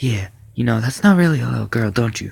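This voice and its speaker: A somewhat breathy man of medium pitch speaks at a moderate pace with lively intonation. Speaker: amateur story narrator. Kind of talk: horror story narration.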